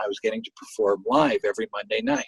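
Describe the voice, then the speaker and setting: A man's voice comes through with a dry, close sound and no echo. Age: 60s. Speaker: singer-songwriter and guitarist. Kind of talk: interview. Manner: halting.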